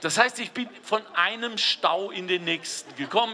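Speech at a moderate pace with ordinary pitch variation comes through over light background noise. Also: man. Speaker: guest. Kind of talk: humorous public speech. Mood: jovial, joking. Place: street. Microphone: handheld.

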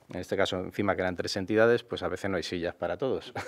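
A man speaks in a plain, everyday voice with a fairly low pitch and fairly even intonation. The background stays quiet. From Madrid, Spain; Spain. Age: 50s. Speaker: mayoral candidate; candidate. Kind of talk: interview. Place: studio. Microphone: studio mic.

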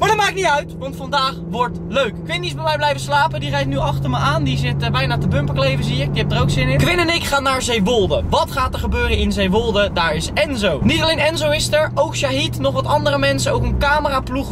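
Amid loud background noise, a man talks at a fairly quick pace with hardly any pauses. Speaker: vlogger. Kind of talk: casual vlog chat. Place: car. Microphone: camera far.

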